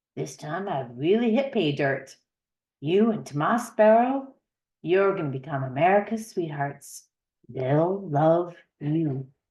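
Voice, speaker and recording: Using a put-on character voice, a woman speaks at a fairly slow pace in a raspy, fairly low register. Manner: confident, salesmanlike.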